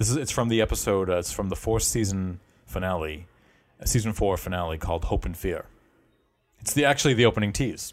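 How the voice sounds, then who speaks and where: A man with a Boston accent talks at a very fast pace, broken by long, frequent pauses. His pitch is fairly low, with ordinary variation. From Boston area. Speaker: podcast host. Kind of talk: casual chat.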